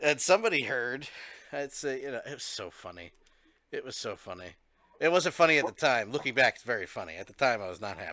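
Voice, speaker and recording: A man's bright, sharp voice at medium pitch, very fast, with vocal fry, very wide pitch swings and big swings in loudness. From Philadelphia / South Jersey. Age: 30s. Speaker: streamer and podcast host. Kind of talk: casual chat. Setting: live stream.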